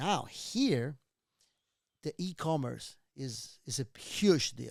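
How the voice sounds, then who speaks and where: With a Venezuelan accent, a man talks very slowly at a medium pitch with lively intonation. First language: Spanish. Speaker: real estate investor. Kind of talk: casual interview chat.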